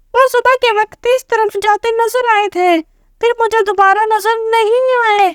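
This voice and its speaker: In a put-on character voice, the speaker pitches extremely high. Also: moderate pace. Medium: read story.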